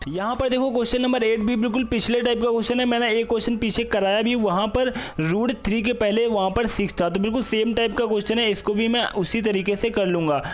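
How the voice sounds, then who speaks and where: In a room with audible echo and noticeable background noise, a high-pitched man speaks at a moderate pace with hardly any pauses. His intonation is fairly even and his loudness very even. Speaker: math teacher. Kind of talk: lecture.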